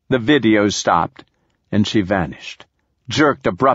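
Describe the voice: In a quiet background, the text is read aloud plainly with ordinary pitch variation.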